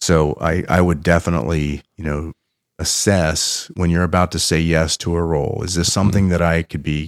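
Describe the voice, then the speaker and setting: In an American accent, a man talks at a moderate pace with a very deep, low pitch and vocal fry. The sound is dry and close, with no echo. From Pennsylvania. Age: 50s. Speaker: business founder and innovation consultant. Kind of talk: interview storytelling. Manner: animated.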